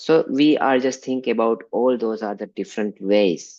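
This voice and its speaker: A man with an Indian accent, lively intonation and a fairly slow pace against a quiet background. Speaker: religious teacher. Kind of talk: online class lecture.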